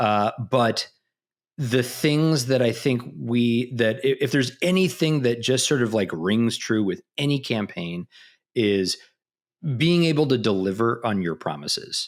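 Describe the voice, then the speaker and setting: A man speaks in a Midwestern accent at a medium pitch and a fairly slow pace. His loudness stays very even, and the recording is very clean with a silent background. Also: lively intonation. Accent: Midwest US. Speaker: marketing executive. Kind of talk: interview. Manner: halting, many fillers.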